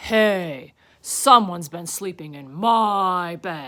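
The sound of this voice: Putting on a character voice, a woman talks very slowly with lively intonation, her fairly low pitch carrying a bright, sharp tone.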